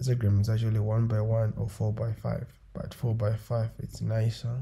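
A man with a medium pitch and a dark, mellow tone speaks at a moderate pace, somewhat breathy, in a monotone, flat intonation. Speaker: photo editing tutor. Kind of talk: tutorial.

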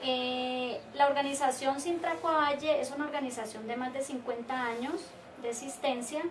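Over noticeable background noise, a woman talks at a fairly slow pace with a high pitch. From Colombia. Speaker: trade union leader. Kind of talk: interview. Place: office. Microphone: camera far.

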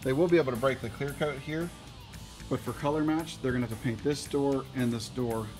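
Over clear background music, a man talks fairly quickly with fairly even intonation. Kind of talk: casual explanatory talk to camera. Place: garage. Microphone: phone near.

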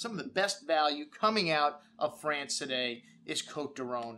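With lively intonation and a bright, sharp tone, the speaker moves at a moderate pace against light background noise. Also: man. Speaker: wine shop host. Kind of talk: product presentation to camera. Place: studio.

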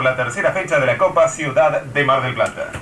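With light background noise and audible room echo, a man speaks at a fairly quick pace. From Argentina. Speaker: radio news announcer. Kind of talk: radio news bulletin. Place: studio.

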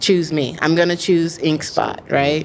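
A woman speaks in a fairly low voice with an American accent. Her intonation is flat and monotone, and light background noise can be heard. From Texas, US South. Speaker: writer and producer; podcast guest. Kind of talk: interview. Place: studio. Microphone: studio mic.

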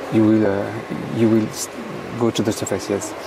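A man with a French accent, amid noticeable background noise. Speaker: freediving coach, monofin expert. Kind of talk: live sports commentary. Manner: halting.

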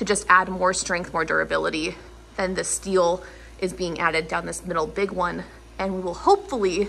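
A woman speaks at a moderate pace as light background noise runs underneath. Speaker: homeowner vlogger. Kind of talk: casual vlog chat. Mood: upbeat, mildly excited. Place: garage. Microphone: phone near.

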